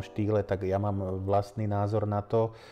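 A man's dark, mellow voice, fairly low in pitch, at a moderate pace with monotone, flat intonation. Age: 20s. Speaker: etiquette coach. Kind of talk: interview. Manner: halting.

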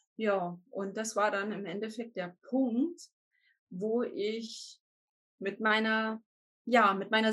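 Here a woman speaks at a fairly high pitch. Her voice is somewhat breathy. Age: 40s. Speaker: life coach. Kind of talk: interview.

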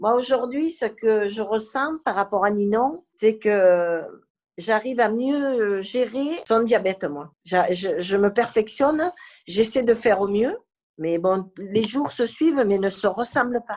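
A woman talks in an ordinary speaking voice. Her pitch is fairly high, and her intonation is lively. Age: 60s. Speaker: grandmother and carer. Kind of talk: testimony.

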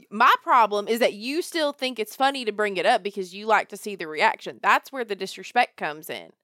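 A woman with a strong Southern US accent speaks at a fairly high pitch and a moderate pace in a playful, animated tone. Her intonation is lively, her loudness swings widely, and the sound is dry and close with no echo. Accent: Southern US, thick. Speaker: daughter co-host. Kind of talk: casual chat.

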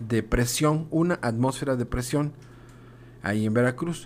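In a plain, everyday voice, a man speaks at a fairly slow pace with medium pitch and lively intonation. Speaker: kindergarten teacher hosting school radio. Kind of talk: casual educational radio chat.

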